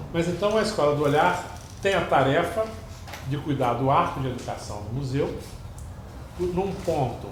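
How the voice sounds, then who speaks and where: With audible room echo and noticeable background noise, a man with a fairly high voice speaks at a moderate pace, his lively intonation broken by long, frequent pauses. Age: 60s. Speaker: museum curator. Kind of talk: lecture. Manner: hesitant, many fillers.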